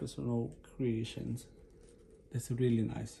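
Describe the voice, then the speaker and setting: A man's very slow voice with a non-native accent, dark and mellow in tone, somewhat breathy, with ordinary pitch variation over light background noise. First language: not English. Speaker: unboxing vlogger. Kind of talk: casual unboxing talk to camera. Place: home room. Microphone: phone near.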